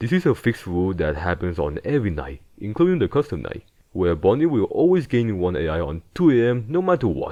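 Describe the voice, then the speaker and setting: Against a quiet background, a man with a fairly low pitch moves through very wide pitch swings at a fairly quick pace with hardly any pauses. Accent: non-native. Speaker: gaming video essayist. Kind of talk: game analysis narration.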